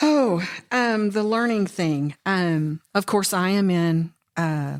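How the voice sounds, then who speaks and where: This woman's voice sits at a medium pitch, with lively intonation at a very slow pace and very even loudness. The sound is dry and close with no echo, on a very clean recording with a silent background. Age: 60s. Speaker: law enforcement educator, budgeting course teacher. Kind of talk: casual chat. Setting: podcast interview.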